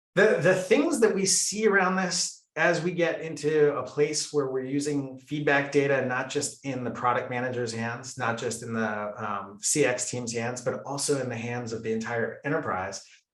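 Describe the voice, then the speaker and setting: With hardly any pauses, a man speaks at a fairly high pitch with lively intonation amid audible room echo. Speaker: company executive. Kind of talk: webinar presentation. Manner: fast.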